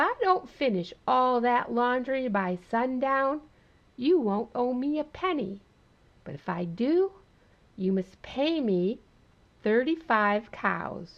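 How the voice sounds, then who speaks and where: Using a put-on character voice, a woman speaks at a high pitch and a fairly slow pace, with long, frequent pauses. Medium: read story. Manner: sing-song, perky.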